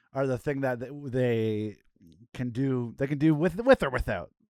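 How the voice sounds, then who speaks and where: Speaking at a fairly slow pace with a Canadian accent, a man uses an unremarkable speaking voice, medium pitch and lively intonation. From Canada. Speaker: podcast co-host. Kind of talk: casual chat. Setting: remote call.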